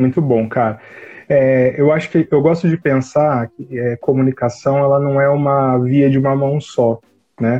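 A man with an ordinary speaking voice talks fairly slowly at a fairly high pitch, keeping his intonation fairly even. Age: 30s. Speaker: marketing consultant and university professor. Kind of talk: casual interview on a live stream.

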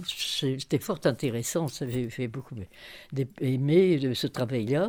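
In a very clean recording with a silent background, a woman with a very deep, low pitch and a dark, mellow tone speaks at a very slow pace with ordinary pitch variation. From northern France, near Cambrai. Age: 90s. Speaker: retired social and family counsellor. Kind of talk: interview, life memories. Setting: retirement home. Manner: halting.

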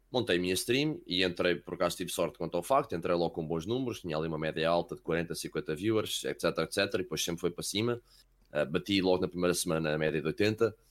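On a very clean recording with a silent background, a man speaks very fast at a very deep, low pitch. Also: ordinary pitch variation. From Wales, later Portugal. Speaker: esports caster. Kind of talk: casual chat.

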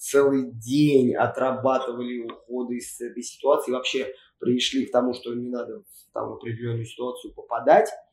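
A man with an unremarkable speaking voice and medium pitch, moderate pace, fairly even intonation and big swings in loudness. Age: 20s. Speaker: PE teacher and MMA coach. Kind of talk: casual chat.

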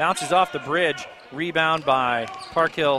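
Over noticeable background noise, a man with an American accent talks at a fairly high pitch with ordinary pitch variation. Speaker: play-by-play radio announcer. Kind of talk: live high school basketball play-by-play commentary. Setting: courtside at a gym broadcast. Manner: rapid, running call of each possession with scores; brisk, excited reactions to near-miss shots.

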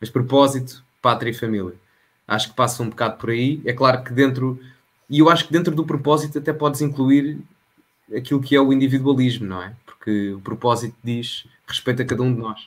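A man talks fairly quickly in a plain, everyday voice, his pitch variation ordinary. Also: medium pitch for a man. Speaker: local politician and political content creator. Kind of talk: casual political interview.

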